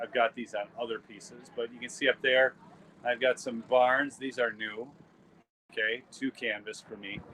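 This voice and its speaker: A man speaks at a medium pitch with a Minnesotan accent. His loudness swings widely. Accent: Minnesota. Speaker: photographer and YouTube host. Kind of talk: live stream vlog at art booth. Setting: outdoor art show booth. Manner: casual, halting with fillers.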